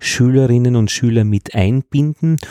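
In a very clean recording with a silent background and a dry, close sound with no echo, a man with an Upper Austrian accent speaks at a medium pitch with ordinary pitch variation and a dark, mellow tone. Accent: Upper Austrian dialect smoothed. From Upper Austria, Braunau. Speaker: podcast host and teacher. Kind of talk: casual interview. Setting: school room.

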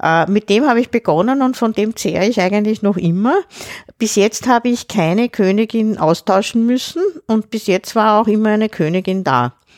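A woman's normal speaking voice, fairly high in pitch, with ordinary pitch variation, very even loudness and a moderate pace, in a dry, close sound with no echo. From Austria, Lower Austria near Vienna. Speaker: retired school principal and beekeeper. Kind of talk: casual chat.

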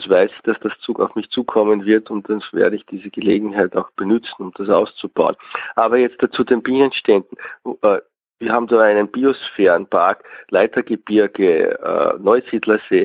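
A normal speaking voice from a man, medium in pitch, at a moderate pace. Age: 50s. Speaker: beekeeper. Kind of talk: interview. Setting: phone call.

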